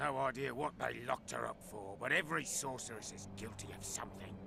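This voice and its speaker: Over clear background noise, the speaker uses a put-on character voice at a fairly quick pace. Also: man, medium pitch for a man. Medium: video game. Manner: gruff.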